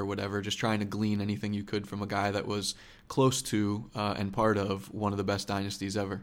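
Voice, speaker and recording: Fairly quick speech comes from a man with a fairly low pitch. He has a plain, everyday voice. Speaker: podcast host and sports reporter. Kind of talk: casual interview conversation.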